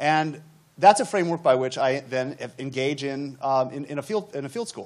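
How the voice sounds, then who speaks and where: With a plain, everyday voice, a man speaks at a moderate pace and ordinary pitch variation. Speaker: architectural historian. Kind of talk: panel discussion. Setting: stage with audience.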